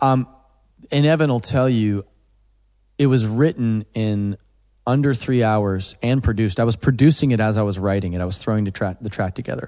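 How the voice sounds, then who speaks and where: Fairly low and dark, mellow in tone, this man's voice carries an American accent. He talks fairly quickly with ordinary pitch variation against a quiet background. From Oklahoma. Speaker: songwriter and producer. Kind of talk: casual interview chat.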